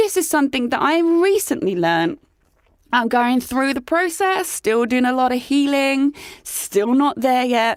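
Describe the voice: Pitched high, a woman speaks at a fairly slow pace with a dramatic tone and lively intonation.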